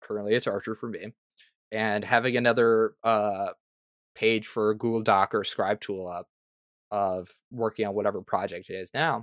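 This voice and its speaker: A man's fairly low voice at a moderate pace, with long, frequent pauses, fairly even intonation and a very clean recording over a silent background. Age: young. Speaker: tabletop RPG freelance writer and content creator. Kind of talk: casual interview chat.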